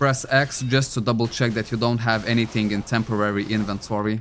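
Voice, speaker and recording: Over music in the background, a man talks at a moderate pace in a medium pitch. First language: not English. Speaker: gaming streamer. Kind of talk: live stream gameplay chat.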